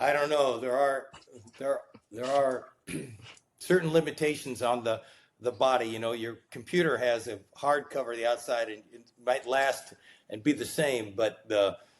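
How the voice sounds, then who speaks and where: In an ordinary speaking voice, a man of medium pitch talks at a moderate pace with fairly even intonation and big swings in loudness. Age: 60s. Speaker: physician and biotech executive. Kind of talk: casual interview.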